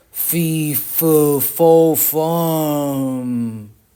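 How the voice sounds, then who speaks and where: In a put-on character voice, the speaker bellows at a low-to-middle pitch. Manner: roaring.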